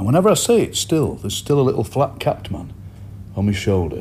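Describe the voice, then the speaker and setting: A man with a South Yorkshire accent talks at a moderate pace, his pitch swinging very widely. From Yorkshire, Barnsley/Doncaster area. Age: 50s. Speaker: poet and broadcaster. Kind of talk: interview.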